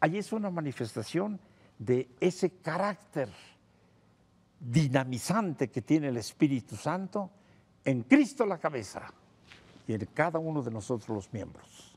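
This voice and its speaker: Somewhat breathy and fairly high-pitched, a man talks at a fairly slow pace with very wide pitch swings and long, frequent pauses. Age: 70s. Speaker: priest and theologian. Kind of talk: TV interview.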